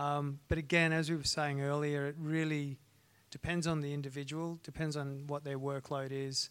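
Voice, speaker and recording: An Australian-accented man with fairly high pitch and monotone, flat intonation. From North Queensland, Australia. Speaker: strength and conditioning coach, former ballet dancer. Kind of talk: live panel discussion. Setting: stage with live audience.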